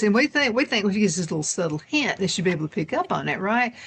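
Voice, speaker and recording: A woman with a Southern US accent talks at a very fast pace and a medium pitch, her voice making very wide pitch swings over noticeable background noise. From US South. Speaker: talk show host. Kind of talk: casual chat.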